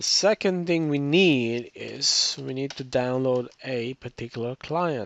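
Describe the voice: At a fairly slow pace, a man talks at a medium pitch with ordinary pitch variation. His tone is fairly bright, touched with vocal fry.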